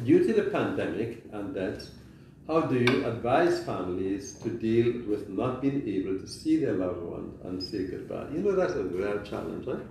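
A man's fairly low, slightly mellow voice with vocal fry and lively intonation, at a moderate pace, in audible room echo

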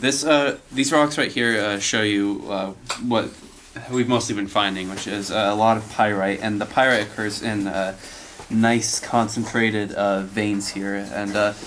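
A man speaks in an ordinary speaking voice, fairly low in pitch, at a fairly slow pace. His intonation stays fairly even over light background noise. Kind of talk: informal explanation to camera. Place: tunnel cave.

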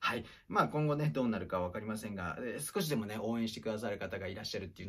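A man's fairly low-pitched voice comes through over a quiet background. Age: 40s. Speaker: acting teacher and former actor; acting teacher. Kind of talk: casual monologue livestream. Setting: livestream recorded on iPad. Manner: polite, filler-heavy. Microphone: phone near.

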